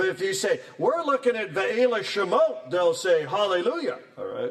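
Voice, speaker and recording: Very wide pitch swings mark a man's speech over noticeable background noise. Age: 60s. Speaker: professor. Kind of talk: lecture. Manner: animated.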